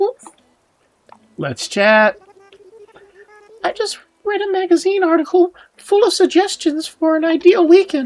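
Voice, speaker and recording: Putting on a squeaky character voice at an extremely high pitch, a man talks at a moderate pace with long, frequent pauses. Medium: game stream. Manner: chatty, friendly.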